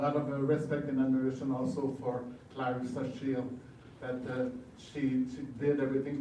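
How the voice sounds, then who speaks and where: Noticeable background noise and audible room echo surround a man's voice. He speaks at a moderate pace with a monotone, flat intonation. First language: French. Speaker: boxing promoter. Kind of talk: press conference speech. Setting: press conference. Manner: halting.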